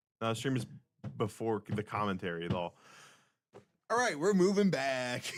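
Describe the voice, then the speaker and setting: Loud speech with very wide pitch swings and long, frequent pauses, on a very clean recording with a silent background. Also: man, medium pitch for a man, moderate pace. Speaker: tournament stream commentator. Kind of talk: live commentary. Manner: animated.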